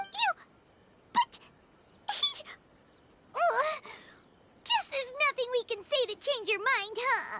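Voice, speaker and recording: An extremely high-pitched, put-on character voice moves at a fairly slow pace. Long, frequent pauses break up the speech. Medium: video game. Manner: expressive.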